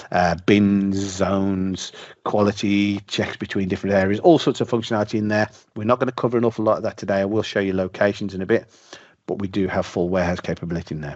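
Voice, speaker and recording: In a British accent, a man speaks fairly quickly with a fairly low pitch. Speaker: software presenter. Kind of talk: product demo. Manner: fast; informal.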